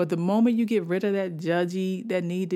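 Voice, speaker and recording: A woman's ordinary speaking voice, fairly low in pitch, with an American accent and fairly even intonation, in a very clean recording with a silent background. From Washington, D.C. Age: 40s. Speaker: podcast host, writer. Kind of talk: casual storytelling monologue.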